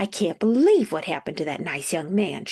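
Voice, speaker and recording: A female-sounding voice at medium pitch performs a put-on character voice at a fairly quick pace. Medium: read story. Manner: fussy, fretting.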